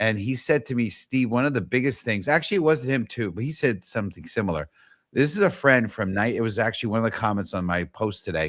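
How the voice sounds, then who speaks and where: Here a man with a New York accent speaks at a very fast pace. His pitch is medium, and his intonation is lively. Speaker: talk show host. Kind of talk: casual interview chat. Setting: live online show.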